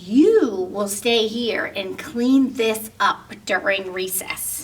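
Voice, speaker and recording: Doing a put-on character voice, a woman speaks very slowly at a fairly high pitch. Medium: read story.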